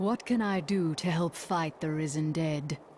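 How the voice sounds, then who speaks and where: In a put-on character voice of middle pitch, the speaker goes at a moderate pace against clear background noise. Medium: video game.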